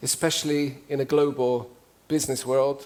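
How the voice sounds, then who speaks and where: A man's fairly high voice with an English accent. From UK. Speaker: cross-cultural communication trainer. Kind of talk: talk to a live audience. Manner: animated.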